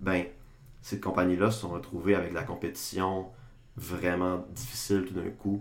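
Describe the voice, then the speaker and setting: With long, frequent pauses and audible room echo, a man speaks at a fairly slow pace in a very deep, low voice with ordinary pitch variation. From Quebec, Saguenay (Chicoutimi). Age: 20s. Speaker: political science student. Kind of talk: casual podcast discussion.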